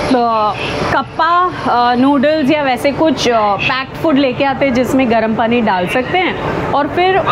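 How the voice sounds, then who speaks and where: Very slow speech with ordinary pitch variation over noticeable background noise. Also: woman. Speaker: travel vlogger. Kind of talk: casual vlog chat. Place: train. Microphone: lapel.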